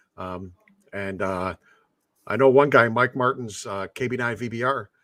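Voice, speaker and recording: Here a man with an American accent speaks at a medium pitch in a bright, sharp tone. His loudness swings widely, and the sound is dry and close with no echo. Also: ordinary pitch variation, moderate pace. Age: 60s. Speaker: ham radio operator. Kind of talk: casual chat. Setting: live stream.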